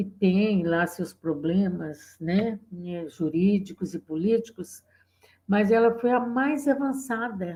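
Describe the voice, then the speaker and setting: A woman with a medium pitch and ordinary pitch variation speaks at a very slow pace in a dark, mellow, somewhat breathy tone. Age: 70s. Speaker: feminist activist. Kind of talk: oral history interview. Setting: video call.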